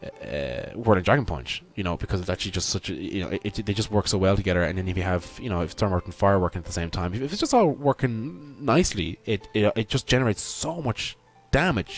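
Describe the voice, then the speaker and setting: A man with an Irish accent talks very fast, with hardly any pauses. His fairly low voice carries lively intonation. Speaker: gaming YouTuber. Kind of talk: gameplay commentary. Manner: halting, many fillers and repetitions; enthusiastic.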